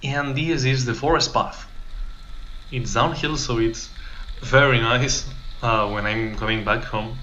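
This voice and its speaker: A man with a non-native accent speaks fairly slowly at a medium pitch, with fairly even intonation and long, frequent pauses. Audible room echo and noticeable background noise are present. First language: not English. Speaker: exchange student vlogger. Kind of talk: casual vlog narration. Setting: outdoors riding a bike.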